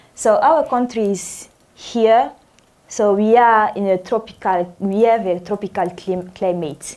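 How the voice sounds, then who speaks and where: A woman with a French accent, dark, mellow in tone, medium in pitch, fairly slow, with ordinary pitch variation. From Burkina Faso. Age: 20s. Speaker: native-speaker English lecturer. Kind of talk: lecture. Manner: halting.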